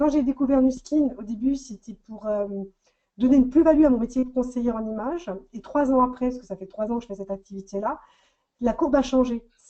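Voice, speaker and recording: A woman talks at a fairly quick pace with a high pitch and ordinary pitch variation. Her loudness swings widely. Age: 40s. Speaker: makeup artist. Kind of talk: testimony.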